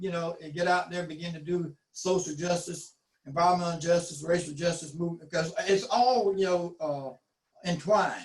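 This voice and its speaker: This man speaks with a Southern US accent. His pitch is high. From US South, eastern North Carolina (Duplin County). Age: 60s. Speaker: community health nonprofit director. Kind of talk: panel discussion.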